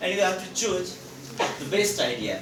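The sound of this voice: A man with a high pitch talks at a moderate pace, with audible room echo around him.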